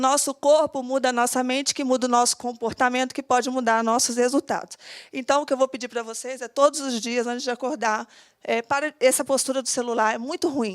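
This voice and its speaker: Her pitch high, a woman talks at a fairly quick pace with fairly even intonation in a dry, close sound with no echo. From Minas Gerais, Brazil (Cataguases). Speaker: entrepreneur, aesthetics clinic owner, speaker. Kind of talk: motivational talk. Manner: fast.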